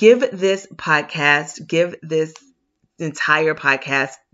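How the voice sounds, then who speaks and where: This woman has a very deep, low pitch and an animated tone. Her intonation is lively. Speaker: podcast host and business coach. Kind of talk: solo podcast monologue. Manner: loud.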